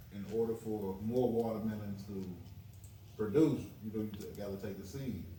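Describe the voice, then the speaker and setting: A man with a fairly low voice talks at a moderate pace, his intonation fairly even and his pauses long and frequent. The room echo is audible, and so is the background noise. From US South. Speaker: chef. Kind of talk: podcast interview.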